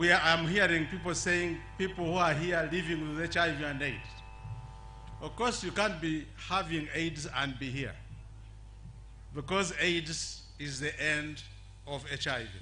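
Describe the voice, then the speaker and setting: A man with a fairly high pitch speaks at a fairly slow pace in fairly even intonation, leaving long, frequent pauses amid audible room echo. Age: 70s. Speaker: HIV activist. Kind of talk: public speech. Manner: halting.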